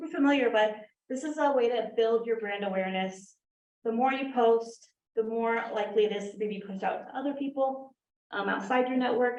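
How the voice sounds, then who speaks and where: Audible room echo surrounds a woman speaking at a fairly quick pace in a fairly high pitch with ordinary pitch variation. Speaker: digital marketing expert on a panel. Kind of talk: panel presentation.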